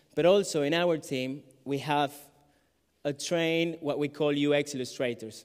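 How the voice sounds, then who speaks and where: A man talks at a moderate pace in a Colombian accent, his pitch fairly high with ordinary variation. His loudness swings widely. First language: Spanish. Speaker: illustrator and graphic facilitator. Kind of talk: conference talk. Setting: stage with audience. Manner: hesitant, many fillers.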